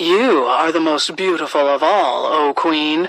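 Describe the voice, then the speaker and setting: Putting on a character voice, a woman talks at a fairly slow pace in a very deep, low pitch. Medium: read story.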